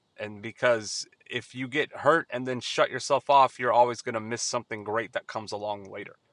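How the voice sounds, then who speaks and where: With an unremarkable speaking voice at medium pitch, a man talks at a fairly quick pace with hardly any pauses and big swings in loudness. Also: fairly even intonation. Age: 30s. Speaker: podcast host and retail worker. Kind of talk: casual solo monologue. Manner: conversational with frequent fillers.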